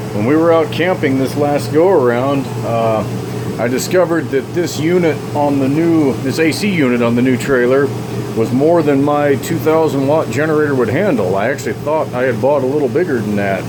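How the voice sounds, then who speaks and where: Over noticeable background noise and audible room echo, a man with a fairly high pitch speaks at a moderate pace with very even loudness. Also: ordinary pitch variation. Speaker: small-engine repair channel owner. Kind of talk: casual product review vlog. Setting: inside a travel trailer.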